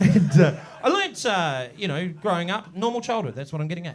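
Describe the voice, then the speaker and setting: Speaking with a New Zealand accent, a man sounds animated and moves at a fairly quick pace. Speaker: comedian. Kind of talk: stand-up. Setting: stage with audience.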